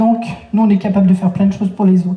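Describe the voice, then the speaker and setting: A woman at a medium pitch speaks with fairly even intonation at a moderate pace. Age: 60s. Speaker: speaker on personal development. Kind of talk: lecture. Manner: halting.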